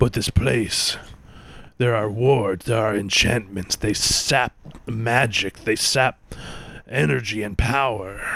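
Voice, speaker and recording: A man's put-on character voice at a medium pitch, fairly slow with long, frequent pauses. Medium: actual play. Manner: broken grammar, speaks of himself by name.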